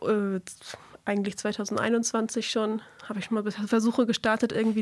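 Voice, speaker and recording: A woman speaks fairly slowly at a fairly high pitch. Noticeable background noise can be heard. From northern Schleswig-Holstein, Germany. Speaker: singer-songwriter. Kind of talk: radio interview. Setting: radio studio.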